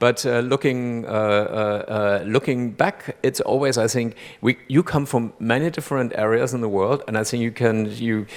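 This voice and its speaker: This man has a German accent. He speaks at a moderate pace. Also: medium pitch for a man, hardly any pauses. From Germany. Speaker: jury chairman. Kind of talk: stage interview. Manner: halting, many repeated words.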